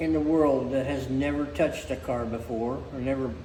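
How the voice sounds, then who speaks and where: Against noticeable background noise and audible room echo, a man speaks at a moderate pace with ordinary pitch variation. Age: 80s+. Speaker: car restorer. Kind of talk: casual chat.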